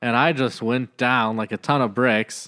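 A man with an unremarkable speaking voice at medium pitch talks at a fairly slow pace, recorded very cleanly against a silent background with a dry, close sound and no echo. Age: 30s. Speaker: pastor. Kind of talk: casual chat.

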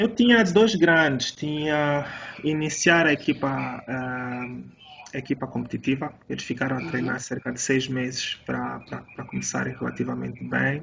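Noticeable background noise sits behind the recording. A man talks at a fairly slow pace. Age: 40s. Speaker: jiu-jitsu coach and podcast host. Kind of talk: casual interview.

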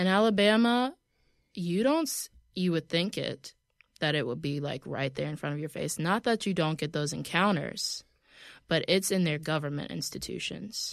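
In a very clean recording with a silent background, a woman with an American accent uses an ordinary speaking voice, fairly low in pitch, with lively intonation. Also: moderate pace. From US South. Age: 20s. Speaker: model and journalist. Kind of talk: casual chat. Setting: studio.

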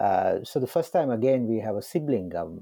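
In a Sri Lankan accent, the voice comes through dry and close with no echo against a quiet background. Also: man. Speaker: security analyst. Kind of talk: interview. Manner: halting, hesitant.

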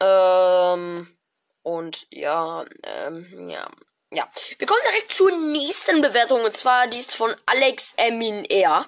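A woman speaks very slowly in a fairly high voice. Her loudness swings a lot and her pitch rises and falls very widely. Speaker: gaming podcast host. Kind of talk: casual commentary reading out app reviews. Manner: animated.

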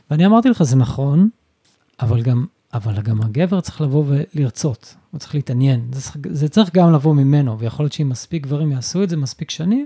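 Very fast, somewhat breathy speech in a dark, mellow tone, with lively intonation, big swings in loudness and a dry, close sound with no echo. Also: man, fairly high pitch for a man. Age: 50s. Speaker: stay-at-home father and photographer. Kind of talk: casual interview conversation. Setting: wife's clinic.

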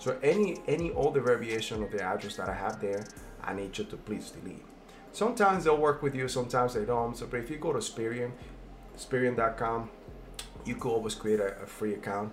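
A man of medium pitch speaks at a fairly quick pace with music in the background. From immigrant from a developing country. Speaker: credit repair consultant and video host. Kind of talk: casual tutorial. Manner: filler-heavy, with frequent um and uh.

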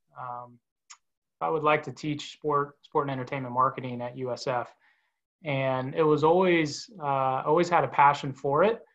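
This man has an ordinary speaking voice with an American accent, pitched fairly high. He speaks at a moderate pace with ordinary pitch variation over a quiet background. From Orlando, Florida. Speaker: sports marketing executive and university lecturer. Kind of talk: interview.

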